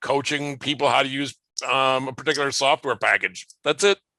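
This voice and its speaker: A bright, sharp tone with an American accent comes through dry and close, with no echo and a quiet background. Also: man. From US Midwest (northern Illinois, southern Minnesota). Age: 60s. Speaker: comics publisher. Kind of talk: interview. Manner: halting, repeats words.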